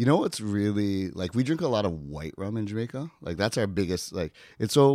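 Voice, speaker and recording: Speaking in a Canadian accent with a normal speaking voice, the talker keeps a moderate pace and lively intonation on a very clean recording with a silent background. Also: man. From Ontario, Canada (outside Toronto). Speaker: rum company manager. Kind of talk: casual chat. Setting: in person at a drinks conference.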